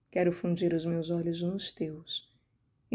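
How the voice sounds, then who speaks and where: A woman speaks in a solemn tone, somewhat breathy. Her tone is dark and mellow. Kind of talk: fervent prayer, devotional reading aloud in first person. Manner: pleading, impassioned, tender, earnest; slow, reverent, solemn.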